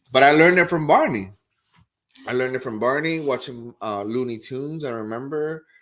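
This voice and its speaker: Fairly quick delivery with a Spanish accent and big swings in loudness. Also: man, medium pitch for a man, ordinary pitch variation. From Puerto Rico. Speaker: real estate agent, show co-host. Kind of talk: casual chat. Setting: live stream.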